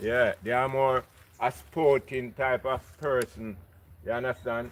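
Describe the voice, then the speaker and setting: A man speaks with a Jamaican accent at a fairly slow pace. His medium pitch shows ordinary variation. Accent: Jamaican English with patois. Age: 60s. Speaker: local resident. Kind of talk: casual chat.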